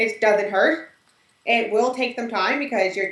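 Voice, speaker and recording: A woman's plain, everyday voice, fairly high in pitch, with ordinary pitch variation at a moderate pace. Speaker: mental health video co-host. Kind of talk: casual informative chat.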